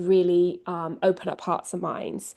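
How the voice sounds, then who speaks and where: Against a quiet background, a woman with an English accent speaks at a medium pitch. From England. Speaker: communications lead at a nonprofit. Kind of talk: presentation.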